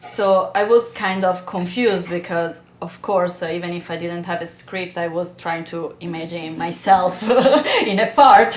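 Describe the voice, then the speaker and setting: The speaker has an Italian accent and talks at a moderate pace with ordinary pitch variation. Noticeable background noise runs underneath. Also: woman. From Italy. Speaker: actress. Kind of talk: podcast interview answer.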